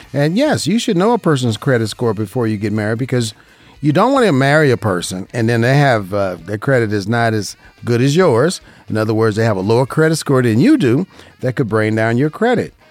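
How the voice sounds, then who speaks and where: A man with an American accent talks at a fairly quick pace, with medium pitch and lively intonation. His is a normal speaking voice. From Las Vegas, Nevada. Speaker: radio host and insurance broker. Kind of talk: paid radio program on insurance. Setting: radio studio.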